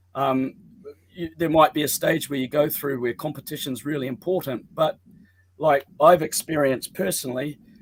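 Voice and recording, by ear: A man with a fairly high pitch, moderate pace and fairly even intonation.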